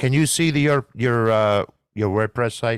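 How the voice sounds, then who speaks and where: Speaking at a moderate pace with ordinary pitch variation, a man with a Bronx accent comes through dry and close with no echo, on a very clean recording with a silent background. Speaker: podcast host. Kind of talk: interview.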